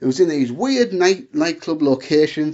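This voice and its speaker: Lively in intonation, a man talks at a high pitch and a moderate pace. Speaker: wrestling YouTuber. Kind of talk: casual solo Q&A monologue. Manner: stuttering, self-interrupting.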